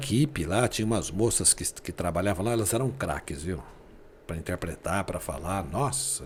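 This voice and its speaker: This man's voice is very deep and low, and somewhat breathy. His pitch swings very widely. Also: moderate pace. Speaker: sports radio announcer. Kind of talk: interview answer, casual storytelling.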